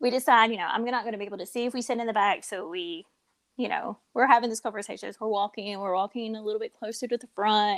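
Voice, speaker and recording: With a Kentucky accent, a woman rattles along at a very fast pace in a fairly high, animated voice, the sound dry and close with no echo. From rural Kentucky. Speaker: podcast co-host. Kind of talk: casual chat. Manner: animated storytelling.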